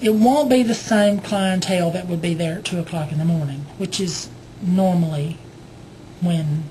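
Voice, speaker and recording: With a Southern US accent, a woman speaks at a moderate pace in a fairly low pitch with ordinary pitch variation, and audible room echo surrounds her. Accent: Southern US (Georgia). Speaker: video blogger. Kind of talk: casual vlog storytelling. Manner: hesitant, many fillers.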